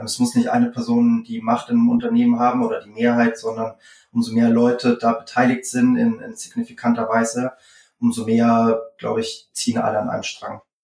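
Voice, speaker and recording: A man at a moderate pace, his loudness swinging widely. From Franconia, Germany (Würzburg). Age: 30s. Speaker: startup founder and CEO. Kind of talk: interview.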